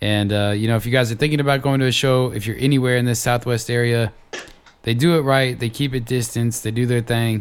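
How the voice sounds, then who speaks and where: With an American accent, a man of medium pitch talks at a very fast pace. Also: fairly even intonation. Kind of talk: casual chat.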